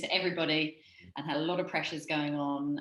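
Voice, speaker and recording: Audible room echo fills the space. In it, a woman talks with a very deep, low pitch. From New Zealand. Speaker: startup founder. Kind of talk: interview. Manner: conversational, with frequent fillers.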